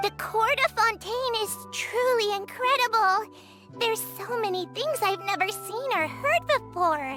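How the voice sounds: Faint music plays behind a woman's put-on character voice, extremely high in pitch with a bright, sharp tone. She speaks at a fairly slow pace with few pauses and lively intonation.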